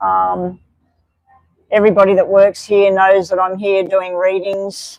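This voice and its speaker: Monotone, flat intonation at a fairly slow pace. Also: woman. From Australia. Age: 60s. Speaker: tarot card reader. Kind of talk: live stream reading and chat. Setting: live stream from a club.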